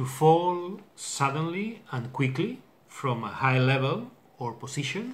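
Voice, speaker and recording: A man with a fairly high voice speaks very slowly, his somewhat breathy delivery full of lively intonation. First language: not English. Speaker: English learner vlogger. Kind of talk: casual vocabulary video. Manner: halting, hesitant with many fillers. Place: home room. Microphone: webcam.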